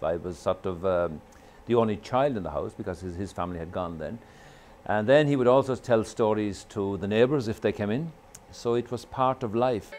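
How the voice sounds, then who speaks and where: A man with an Irish accent talks at a moderate pace and a fairly low pitch, his intonation lively. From Ireland. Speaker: storyteller. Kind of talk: interview answer.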